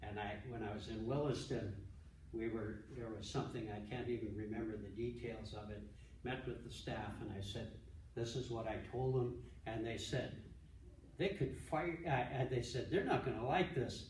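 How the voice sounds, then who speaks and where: The voice belongs to a man and is somewhat breathy, with ordinary pitch variation. Audible room echo surrounds it. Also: medium pitch for a man, moderate pace. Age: 70s. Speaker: pastor and ministry director. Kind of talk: conference talk. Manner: halting, many repeated words and false starts.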